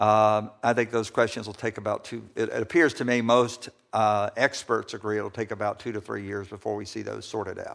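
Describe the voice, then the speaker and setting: On a very clean recording with a silent background, a man with a fairly low pitch speaks in a flat monotone at a fairly quick pace, with hardly any pauses. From US South, Georgia. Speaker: attorney, ambassador nominee. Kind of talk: confirmation hearing testimony. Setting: committee hearing room. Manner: formal.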